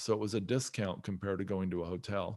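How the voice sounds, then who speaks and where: A man talks at a moderate pace. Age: 50s. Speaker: real estate investor. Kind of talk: podcast interview.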